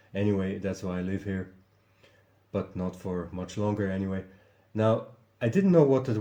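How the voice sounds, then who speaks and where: At a moderate pace with long, frequent pauses, a man speaks in a non-native accent, his fairly low voice dark and mellow with ordinary pitch variation. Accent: non-native English, noticeable. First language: German. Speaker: video commentator. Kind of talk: casual vlog commentary. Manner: halting, many fillers and repetitions.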